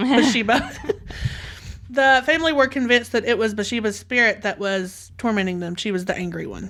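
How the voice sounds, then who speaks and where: Speaking at a fairly quick pace with a Southern US accent, a woman uses a fairly high pitch with ordinary variation. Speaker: podcast host. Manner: storytelling.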